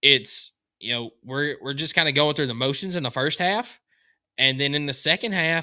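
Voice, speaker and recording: With a Southern US accent, a man speaks at a fairly high pitch in a bright, sharp tone with ordinary pitch variation, captured in a very clean recording with a silent background. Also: moderate pace. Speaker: sports podcast co-host. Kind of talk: casual chat.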